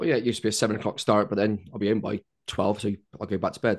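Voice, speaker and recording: A man is speaking. The background is quiet. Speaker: podcast co-host. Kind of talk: casual chat.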